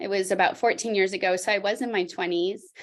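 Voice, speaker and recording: On a very clean recording with a silent background, a woman with a plain, everyday voice talks at medium pitch with ordinary pitch variation. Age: 40s. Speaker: fitness trainer. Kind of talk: testimony.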